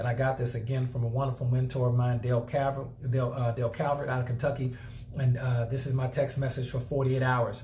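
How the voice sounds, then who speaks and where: Amid audible room echo, a man at medium pitch rattles along at a very fast pace, his intonation monotone and flat and his loudness very even. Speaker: network marketing trainer. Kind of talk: tutorial.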